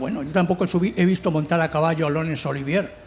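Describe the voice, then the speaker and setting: A man talks with lively intonation at a fairly high pitch, and background noise is noticeable. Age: 60s. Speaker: novelist on a literary panel. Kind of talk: round table discussion.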